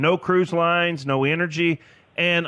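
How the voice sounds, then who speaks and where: A man talks in a Tennessee accent. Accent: US Southern (Tennessee). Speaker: financial advisor. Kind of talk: casual radio interview.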